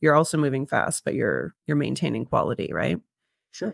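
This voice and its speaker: The recording is very clean, with a silent background. The speaker is a woman. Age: 30s. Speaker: podcast host. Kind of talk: casual interview chat.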